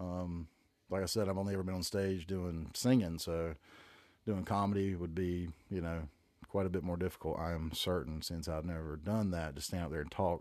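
On a very clean recording with a silent background, a man with a Southern US accent speaks in a relaxed tone at a moderate pace, his pitch very deep and low and his intonation fairly even. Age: 40s. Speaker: podcast host. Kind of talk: casual monologue. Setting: home room. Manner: relaxed, rambling.

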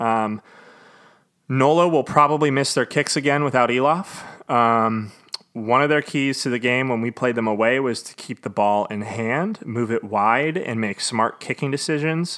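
With an American accent, a man at medium pitch talks at a moderate pace with ordinary pitch variation. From US Pacific Northwest. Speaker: rugby podcast host. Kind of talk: solo podcast commentary.

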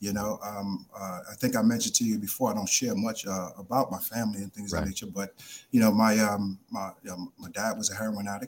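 Fast-moving speech comes from a man with a New York accent, at a fairly quick pace with hardly any pauses. His fairly low voice keeps a monotone, flat intonation. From New York, South Bronx. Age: 40s. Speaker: addiction treatment executive. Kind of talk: radio interview. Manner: halting.

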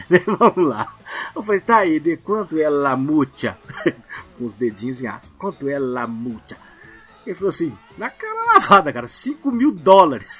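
A man with a Minas Gerais accent, fairly high in pitch, with very wide pitch swings, big swings in loudness, long, frequent pauses and noticeable background noise. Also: moderate pace. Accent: Mineiro Brazilian Portuguese. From Minas Gerais, Brazil. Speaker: listener guest, travel channel creator. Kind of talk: casual chat, storytelling.

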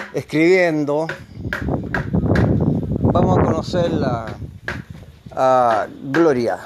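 A man's fairly high voice at a very slow pace, with long, frequent pauses, ordinary pitch variation, noticeable background noise and audible room echo. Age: 70s. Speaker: community radio host. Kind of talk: casual on-location radio chat. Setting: outdoors at a rural guesthouse.

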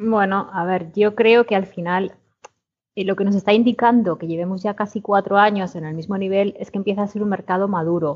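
Here a woman talks in a plain, everyday voice at a medium pitch. Her pace is fairly quick and her intonation fairly even. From Spain, Segovia. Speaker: industry association executive. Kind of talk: casual chat. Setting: remote call.

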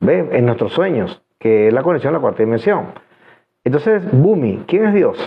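At a moderate pace, a man with a fairly high pitch makes very wide pitch swings while keeping his loudness very even. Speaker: hypnotherapist and esoteric livestream host. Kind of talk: live stream Q&A monologue. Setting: live stream from home studio.

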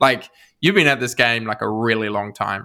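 On a very clean recording with a silent background, a man with a medium pitch and a bright, sharp tone talks at a moderate pace. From New Zealand. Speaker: podcast co-host. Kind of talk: interview.

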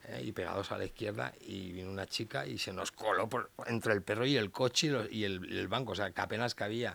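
A man talks with vocal fry at a fairly low pitch. His tone is bright and sharp, and his intonation lively. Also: fairly quick pace, hardly any pauses. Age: 50s. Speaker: dog behavior expert and trainer. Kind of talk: casual interview.

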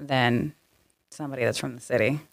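Speaking at a very fast pace, this is a woman. She has an American accent. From Portland, Oregon and California. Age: 30s. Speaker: entrepreneur and former prisoner. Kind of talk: casual interview.

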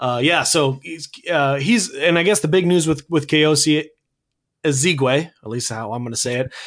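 In a quiet background, a man with an unremarkable speaking voice talks at a moderate pace, his fairly high pitch showing ordinary variation. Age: 30s. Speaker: sports podcast co-host. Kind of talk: casual sports podcast chat.

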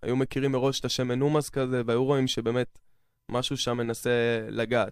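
A man speaks at a moderate pace and medium pitch, in a monotone, flat intonation with very even loudness, on a very clean recording with a silent background. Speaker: trance music producer and DJ. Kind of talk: radio interview. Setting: studio.

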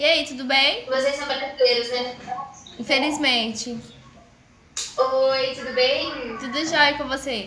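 With a raised, projected voice at a high pitch, a woman speaks at a very slow pace with big swings in loudness, audible room echo and noticeable background noise. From southern Minas Gerais, Brazil. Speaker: streamer chatting with strangers online. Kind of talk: casual chat. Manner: animated.

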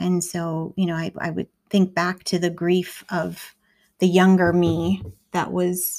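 A woman speaks at a very slow pace in a warm tone. Her intonation stays monotone and flat. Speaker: podcast host and poet. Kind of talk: poem performed, personal reflective reading; solo personal monologue. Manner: slow, tender, emotive, deliberate poetic delivery with pauses; earnest, reflective, warm, with frequent soft laughs.

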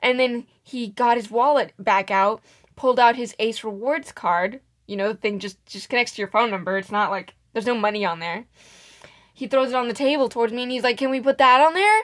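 Over a quiet background, a woman speaks fairly quickly in a fairly high voice, her tone animated and her pitch variation ordinary. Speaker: podcast co-host. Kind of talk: casual chat. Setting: home recording at a mic. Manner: animated, laughing.

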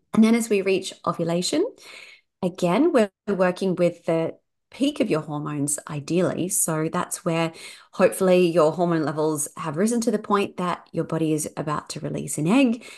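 In a quiet background, a woman talks at a moderate pace with a plain, everyday voice. Her pitch is fairly low, with ordinary pitch variation. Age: 40s. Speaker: fertility yoga teacher. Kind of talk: interview, personal story and explanation.

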